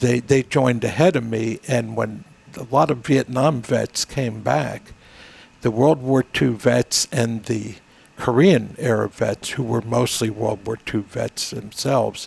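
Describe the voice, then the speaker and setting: Speaking at a fairly slow pace, a man with a medium pitch and vocal fry shows ordinary pitch variation in a dry, close recording with no echo. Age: 80s+. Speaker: military veteran. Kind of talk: casual chat. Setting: studio.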